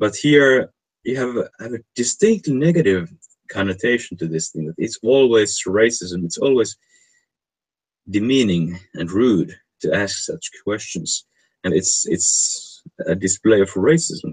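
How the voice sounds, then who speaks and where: With lively intonation, a man talks in a non-native accent. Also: medium pitch for a man, fairly slow pace. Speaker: online stream host. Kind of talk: casual discussion of a research paper. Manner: halting, frequent word repetition.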